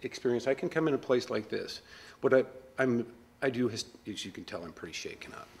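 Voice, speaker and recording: A man's very fast, medium-pitched voice with vocal fry, ordinary pitch variation, and long, frequent pauses. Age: 40s. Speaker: customer. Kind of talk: interview.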